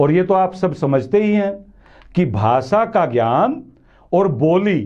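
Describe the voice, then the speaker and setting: A man speaks at a high pitch with a dark, mellow tone. His pitch swings very widely. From western Uttar Pradesh, India. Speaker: news commentary show host. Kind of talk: monologue commentary to camera.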